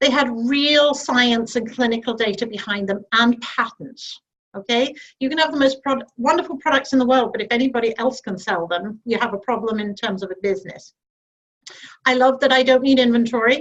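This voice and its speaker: With a British accent, a woman speaks at a high pitch and a fairly quick pace, using ordinary pitch variation. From UK. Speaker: network marketing director. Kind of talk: sales pitch.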